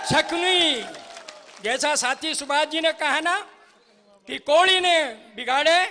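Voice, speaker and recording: A man raises and projects his voice with ordinary pitch variation, leaving long, frequent pauses. Crowd noise fills the background. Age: 70s. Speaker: political party worker. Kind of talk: political rally speech. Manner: rhetorical, declamatory.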